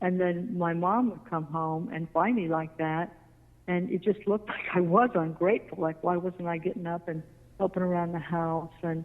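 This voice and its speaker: Her fairly low voice holds a fairly even intonation as this woman talks at a moderate pace. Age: 60s. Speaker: mental health advocate. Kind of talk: interview. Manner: halting.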